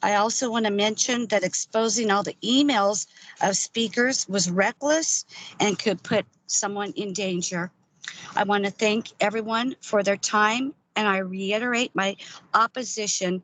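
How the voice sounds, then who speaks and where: With an American accent, a woman at a medium pitch speaks at a fairly slow pace with ordinary pitch variation. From Oregon. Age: 60s. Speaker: public commenter. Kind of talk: public testimony.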